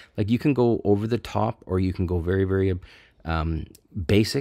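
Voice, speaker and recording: A man with a Canadian accent and a plain, everyday voice, fairly low in pitch, at a fairly quick pace with ordinary pitch variation, on a very clean recording with a silent background. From Canada. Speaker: AI art tutorial YouTuber. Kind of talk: screen-recorded tutorial. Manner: casual, conversational.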